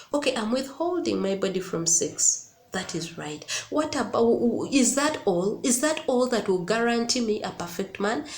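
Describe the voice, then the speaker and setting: At a fairly high pitch, a woman sounds animated with lively intonation at a moderate pace, heard with audible room echo and noticeable background noise. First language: not English. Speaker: YouTuber giving relationship advice. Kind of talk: casual vlog monologue. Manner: animated, repetitive emphasis.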